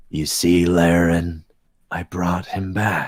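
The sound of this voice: A man puts on a character voice with a very deep, low pitch. He speaks at a very slow pace in a monotone, flat intonation.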